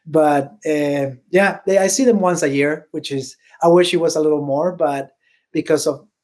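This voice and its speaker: In a Spanish accent, a man speaks at a fairly slow pace with a fairly high pitch and ordinary pitch variation. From Venezuela. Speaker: bowler and bowling industry employee. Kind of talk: podcast interview. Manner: hesitant, many fillers.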